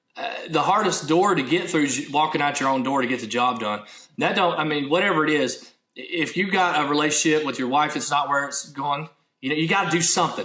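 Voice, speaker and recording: Fairly quick speech with ordinary pitch variation and audible room echo. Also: man, fairly high pitch for a man. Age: 30s. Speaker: minister, former military. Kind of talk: casual interview chat.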